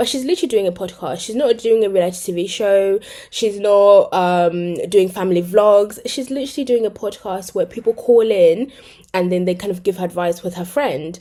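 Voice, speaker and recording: A woman with a British accent has a dark, mellow tone at a medium pitch. She speaks at a moderate pace with ordinary pitch variation. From Britain. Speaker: commentary youtuber. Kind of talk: casual video commentary. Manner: chatty, hesitant fillers.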